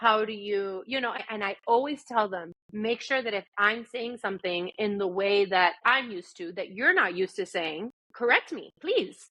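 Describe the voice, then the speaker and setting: A woman with a Spanish accent, medium in pitch. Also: ordinary pitch variation, moderate pace. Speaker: speech-language pathologist. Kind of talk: podcast interview. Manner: animated.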